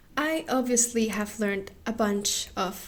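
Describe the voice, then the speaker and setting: Ordinary pitch variation from a woman with a non-native accent. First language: not English. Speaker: craft youtuber. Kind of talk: casual vlog talk to camera.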